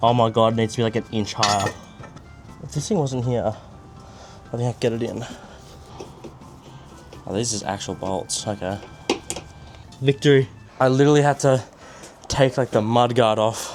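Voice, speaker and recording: Over music in the background, a man with an Australian accent speaks at a moderate pace with fairly even intonation and long, frequent pauses. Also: medium pitch for a man. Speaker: amateur DIY car mechanic. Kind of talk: casual talk to camera.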